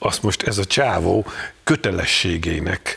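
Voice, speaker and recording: A man speaks with a fairly low pitch. Noticeable background noise runs under his voice. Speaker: journalist. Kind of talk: panel discussion. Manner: animated.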